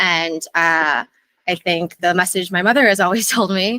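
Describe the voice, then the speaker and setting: A woman with an American accent speaks at medium pitch in a bright, sharp tone, the sound dry and close with no echo. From US Midwest, Minnesota. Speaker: adoptee sharing her experience. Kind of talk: interview. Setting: meeting with live and online audience.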